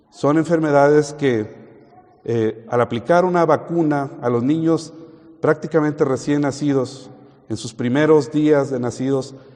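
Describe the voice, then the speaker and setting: Against noticeable background noise, a man with a fairly high pitch speaks fairly slowly with fairly even intonation. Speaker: preacher. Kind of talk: sermon.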